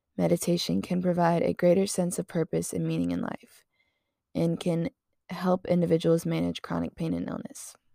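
Recorded very cleanly against a silent background, a woman with an American accent speaks in a dry, close sound with no echo. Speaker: college student podcaster. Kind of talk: guided meditation, calm instructions to breathe and relax; casual solo podcast talk. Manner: slow, soft and soothing pacing; chatty and upbeat.

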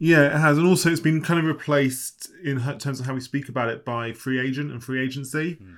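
In an unremarkable speaking voice, a man talks at a fairly quick pace and fairly high pitch with hardly any pauses, fairly even intonation and big swings in loudness. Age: 30s. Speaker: football journalist. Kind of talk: casual chat.

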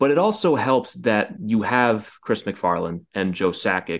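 Against a quiet background, a man uses a plain, everyday voice, pitched fairly low. His intonation is lively and his pace moderate. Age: 20s. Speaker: hockey podcast host. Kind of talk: casual chat.

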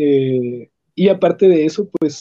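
A man with a dark, mellow tone. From Ciudad Juárez, Chihuahua, northern Mexico. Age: 20s. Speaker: blind music student and teacher. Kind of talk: interview. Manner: articulate, well-spoken.

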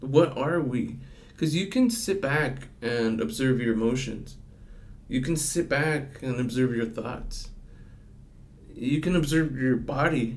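Soft-spoken and at a medium pitch, a man talks at a fairly slow pace with ordinary pitch variation and long, frequent pauses. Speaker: customer service worker and student. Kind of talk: casual chat. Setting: studio with headphones.

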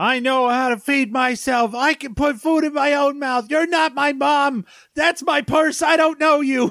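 An angry, shrill put-on character voice from a man, extremely high in pitch, in a very clean recording with a silent background. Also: moderate pace. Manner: angry, shrieking.

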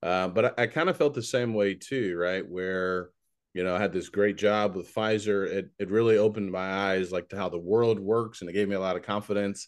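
A man speaks at a fairly quick pace with a fairly low pitch and fairly even intonation. He has a normal speaking voice, set against a quiet background. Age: 40s. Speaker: podcast host and preacher. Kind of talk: podcast interview.

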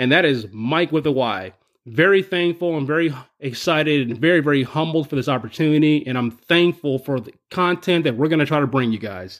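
A man with an ordinary speaking voice talks at a fairly quick pace, his fairly high pitch showing ordinary pitch variation. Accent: American. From US Northeast, Buffalo. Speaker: podcast contributor, roller coaster enthusiast. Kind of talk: scripted introduction.

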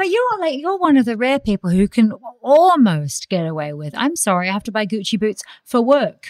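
A woman speaks in an Australian accent at a fairly high pitch. Her pitch swings very widely. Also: moderate pace. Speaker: podcast host and magazine editor. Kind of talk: casual interview chat.

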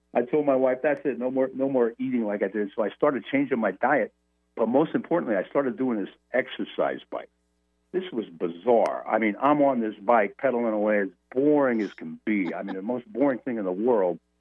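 A man talks at a fairly quick pace in a medium-pitched voice with ordinary pitch variation. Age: 60s. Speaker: memory coach and motivational speaker. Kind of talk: interview storytelling. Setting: Skype call. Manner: animated.

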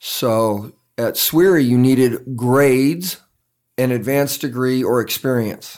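This is a normal speaking voice with an American accent. It moves at a fairly slow pace with ordinary pitch variation. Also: man, medium pitch for a man. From grew up around the world as army child, mostly San Antonio, Texas. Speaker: entrepreneur, engineer. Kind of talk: interview.

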